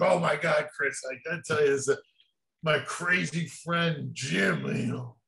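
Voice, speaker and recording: Using a put-on character voice, a man speaks raspily at a fairly high pitch and a moderate pace, with audible echo. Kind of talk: interview answer. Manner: excited, rambling.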